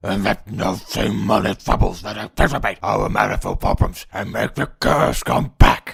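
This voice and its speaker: Using a growling, put-on character voice at a fairly low pitch, a man speaks at a moderate pace with hardly any pauses. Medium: fan dub. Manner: halting, stumbling.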